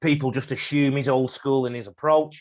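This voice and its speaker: A man speaks with an English accent in a monotone, flat intonation. The recording is very clean, with a silent background. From England. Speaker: rugby league coach. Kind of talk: podcast interview.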